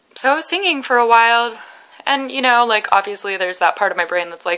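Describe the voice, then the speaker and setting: A bright, sharp tone with lively intonation at a moderate pace, on a very clean recording with a silent background. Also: woman. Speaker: vlogger in eating disorder recovery. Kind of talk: personal vlog. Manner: halting.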